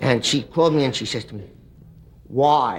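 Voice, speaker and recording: Speaking with a New York accent, the voice shows ordinary pitch variation. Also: man. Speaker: comedian. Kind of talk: talk show storytelling.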